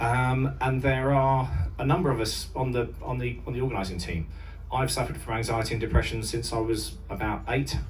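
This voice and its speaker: A man with an English accent talks fairly quickly over noticeable background noise and audible room echo. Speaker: mental health charity volunteer. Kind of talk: speech to audience. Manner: halting.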